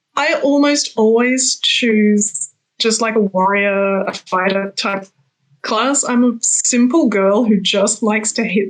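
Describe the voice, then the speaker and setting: With an Australian accent, a woman speaks at a fairly slow pace and fairly high pitch. Her loudness stays very even. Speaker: fantasy author. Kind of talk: interview. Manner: halting, many repeated words and fillers.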